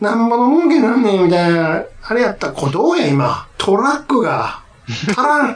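Over noticeable background noise, a man with a Kansai accent speaks at a moderate pace. His pitch is extremely high, with very wide pitch swings. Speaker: podcast co-host. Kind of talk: casual chat.

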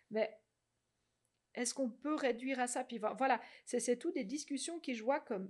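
Long, frequent pauses break up this woman's fairly slow speech. Her pitch is high, with ordinary variation. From Switzerland, French-speaking, outside Vaud. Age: 40s. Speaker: social psychology researcher and cantonal MP. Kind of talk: podcast interview. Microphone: too far from the mic at first.

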